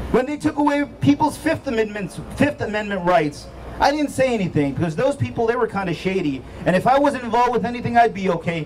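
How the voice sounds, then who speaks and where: A man at a very fast pace, animated in tone, with very wide pitch swings over light background noise. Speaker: physician and state chapter president, rally speaker; speaker. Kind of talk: rally speech. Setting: outdoor rally with crowd. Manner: animated, oratorical; rhetorical, emphatic. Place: street. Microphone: handheld.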